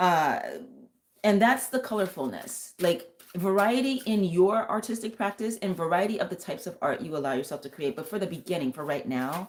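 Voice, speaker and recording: A woman with a normal speaking voice talks at a medium pitch and a fairly quick pace, with lively intonation. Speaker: tarot reader and vocal coach. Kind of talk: live stream tarot reading. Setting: live stream.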